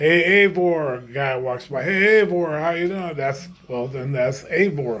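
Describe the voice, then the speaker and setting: Audible room echo surrounds a man with a fairly high pitch. He speaks at a fairly slow pace with ordinary pitch variation. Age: 70s. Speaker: gaming vlogger. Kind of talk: casual monologue vlog. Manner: halting, repetitive.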